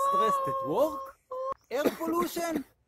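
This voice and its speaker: Loud background noise surrounds a man's voice, which sounds dry with no echo. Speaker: yoga instructor. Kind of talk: animated promo vlog talk. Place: forest. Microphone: phone near.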